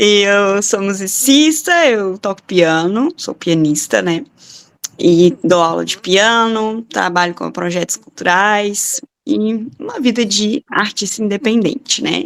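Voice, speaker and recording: A woman's medium-pitched voice at a very slow pace, with lively intonation. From Minas Gerais, Brazil. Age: 20s. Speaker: podcast co-host, pianist. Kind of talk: casual chat.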